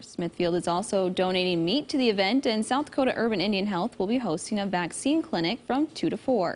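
An ordinary speaking voice moves at a fairly quick pace. The intonation is lively. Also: woman. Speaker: news anchor. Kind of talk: news reading. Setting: studio.

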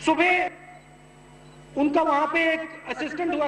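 A man speaks fairly slowly, and audible room echo surrounds his words. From India. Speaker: politician, political party leader. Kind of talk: election rally speech to a large crowd. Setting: outdoors, open-air rally with crowd. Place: stage. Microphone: podium.

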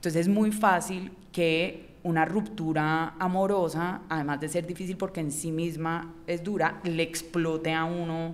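A woman's fairly low voice, very slow and monotone with flat intonation. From Colombia, Cali. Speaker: writer and illustrator; podcast guest. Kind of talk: interview conversation. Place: studio. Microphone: studio mic.

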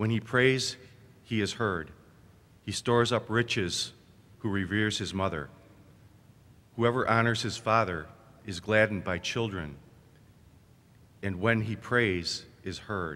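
This man's fairly low voice has a bright, sharp tone and ordinary pitch variation, broken by long, frequent pauses. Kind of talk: scripture reading. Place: church. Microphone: podium.

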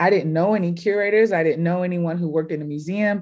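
A woman with an American accent, a plain, everyday voice and fairly low pitch speaks with fairly even intonation against a quiet background. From Houston, Texas. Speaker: curator and artist; panelist. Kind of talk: panel discussion. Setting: video call. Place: home room. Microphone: webcam.

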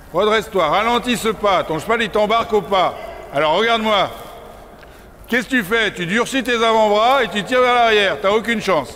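A man talks in a raised, projected voice at a moderate pace with ordinary pitch variation. Light background noise can be heard. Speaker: riding instructor. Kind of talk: coaching instructions to a rider. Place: hall.

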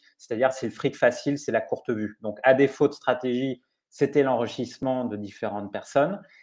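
This man talks at a moderate speed, with ordinary pitch variation. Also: quiet background. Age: 40s. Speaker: investigative journalist. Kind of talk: interview. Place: home room. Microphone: earbuds.

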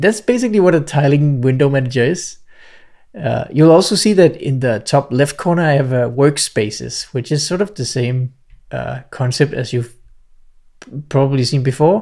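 A man speaks at a moderate pace in a dark, mellow tone with ordinary pitch variation. The background is quiet. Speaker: software tutorial creator. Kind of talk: tutorial. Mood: cheerful, relaxed. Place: home room. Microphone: studio mic.

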